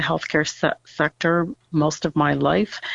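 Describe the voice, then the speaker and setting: A woman's very deep, low voice with vocal fry and a Canadian accent, at a fairly slow pace. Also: dry, close sound with no echo. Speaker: school board trustee candidate. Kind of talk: interview. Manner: hesitant, many fillers.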